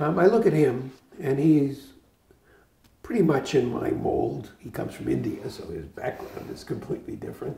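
With an American accent, a man speaks at a moderate pace with long, frequent pauses and big swings in loudness, audible room echo surrounding him. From Boston area, Massachusetts. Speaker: retired physician. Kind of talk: oral history interview. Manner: halting. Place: home room. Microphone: lapel.

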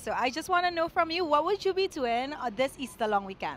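A woman with a high pitch and fairly bright tone speaks at a fairly quick pace, swinging her pitch widely.

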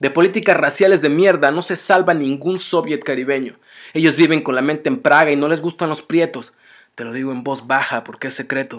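In an angry, intense tone, a man with fairly high pitch talks at a fairly quick pace against a quiet background. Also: ordinary pitch variation. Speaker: spoken word poet. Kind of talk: spoken word poem, defiant political protest verse. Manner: intense, rhythmic, forceful; angry, accusatory, urgent. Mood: angry, defiant. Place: home room. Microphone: webcam.

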